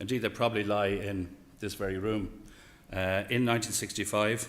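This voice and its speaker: This man, with an Irish accent and a fairly low voice, talks at a fairly quick pace with fairly even intonation. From Ireland. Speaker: horse racing executive. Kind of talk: speech. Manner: hesitant, many fillers.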